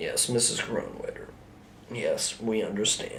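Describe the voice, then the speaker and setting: A man's raspy, put-on character voice at an extremely high pitch, at a moderate pace over clear background noise. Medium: solo performance.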